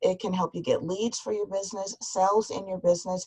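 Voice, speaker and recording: With an American accent, a woman speaks at medium pitch in a somewhat breathy voice, recorded dry and close with no echo. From US Midwest, suburb of Cleveland, Ohio. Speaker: business coach and author. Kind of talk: webinar presentation. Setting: online webinar.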